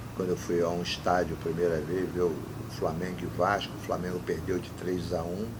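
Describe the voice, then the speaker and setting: A man with a very deep, low pitch at a fairly quick pace, with audible room echo. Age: 60s. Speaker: former football club president. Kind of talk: interview. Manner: animated.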